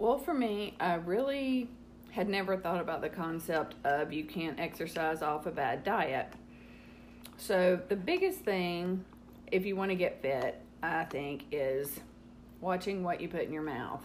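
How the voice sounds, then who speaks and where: A woman with a Southern US accent speaks at a fairly low pitch and a fairly slow pace, with lively intonation. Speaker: host's mother, guest. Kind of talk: casual chat.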